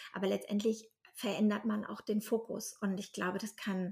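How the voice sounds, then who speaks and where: Speaking at a fairly slow pace, the voice comes out somewhat breathy. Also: woman. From northern Germany. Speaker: podcast host, platform founder. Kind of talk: casual interview. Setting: wearing headphones.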